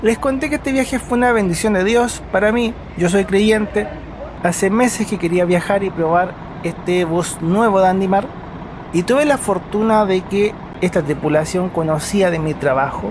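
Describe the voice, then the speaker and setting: A man talks at a moderate pace in a high voice. His pitch varies in an ordinary way, and there is noticeable background noise. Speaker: travel vlogger. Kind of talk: travel narration. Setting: on a bus.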